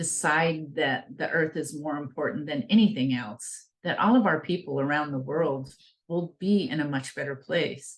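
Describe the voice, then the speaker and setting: With an American accent, a woman uses a very deep, low pitch and lively intonation at a moderate pace. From Northern California, Klamath River region. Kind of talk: invited talk.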